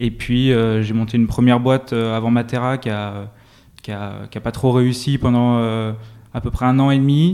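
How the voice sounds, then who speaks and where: Medium pitch and fairly even intonation from a man with a normal speaking voice, at a moderate pace. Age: 20s. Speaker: tech startup co-founder and CTO. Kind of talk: interview.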